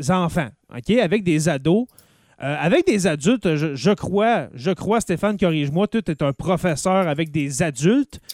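In a dry, close recording with no echo and a silent, very clean background, a man with a high voice talks fairly slowly with lively intonation. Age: 30s. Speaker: podcast host. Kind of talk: casual chat.

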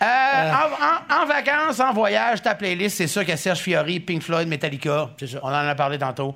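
Over noticeable background noise, a man's high-pitched voice makes very wide pitch swings. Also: moderate pace. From Gaspésie. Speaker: podcast host. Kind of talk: casual chat.

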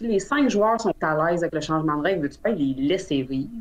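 A woman talks at a fairly quick pace with very wide pitch swings over noticeable background noise. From Quebec. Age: 30s. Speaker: dice maker. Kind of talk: casual chat.

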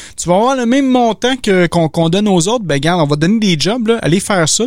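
Lively intonation carries this voice in a Quebec accent. The pace is very fast. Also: man. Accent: Québécois French. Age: 30s. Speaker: podcast host. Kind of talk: casual chat. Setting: video call.

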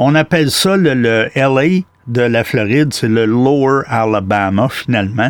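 A man speaks with a Quebec accent at a medium pitch, his pitch varying in an ordinary way over a quiet background. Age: 60s. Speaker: outdoor podcast host. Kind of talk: interview. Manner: animated.

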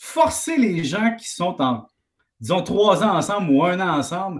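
This man's voice is high in pitch, swinging very widely, and moves at a fairly slow pace. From Quebec, Valleyfield. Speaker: economics columnist and TV host. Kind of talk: casual chat.

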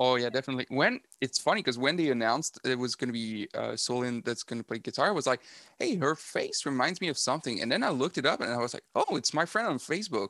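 A man with a Quebec accent talks very fast at a medium pitch, with hardly any pauses and lively intonation. His tone is bright and sharp, and the very clean recording sounds dry and close, with no echo and a silent background. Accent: French Canadian accent in English. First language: French. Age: 30s. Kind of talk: casual interview chat. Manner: halting, many fillers and repeats.

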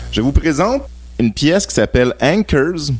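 Speaking at a fairly slow pace, a man with a Quebec accent uses lively intonation. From Quebec (Laval, Montreal suburbs). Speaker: music marketing specialist. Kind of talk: radio interview.

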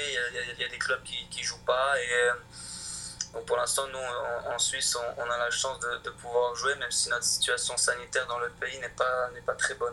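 A man speaking at a moderate pace, with noticeable background noise. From France (Chamonix) and Switzerland. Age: 20s. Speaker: professional hockey player. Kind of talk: interview. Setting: video call. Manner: halting, many repetitions.

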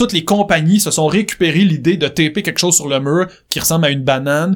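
A man with a Quebec accent talks at a high pitch and a very fast pace. His tone is animated, with ordinary pitch variation. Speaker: songwriter and musician. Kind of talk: interview.

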